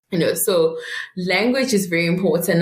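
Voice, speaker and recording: A woman speaks in a Zulu accent. Her pitch varies in an ordinary way. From South Africa, Mpumalanga. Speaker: private wealth advisor. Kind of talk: interview. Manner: halting.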